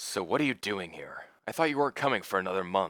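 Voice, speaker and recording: A man rattles off a raspy, put-on character voice at a very fast pace on a very clean recording with a silent background. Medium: read story.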